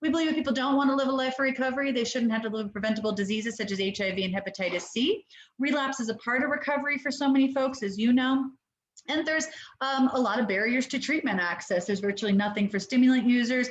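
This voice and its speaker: A woman's high-pitched voice at a very fast pace, with ordinary pitch variation. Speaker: harm reduction nonprofit director. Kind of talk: webinar presentation. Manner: animated.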